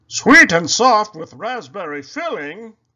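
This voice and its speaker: In a put-on character voice, a man speaks at a fairly slow pace, his high pitch making very wide swings. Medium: read story.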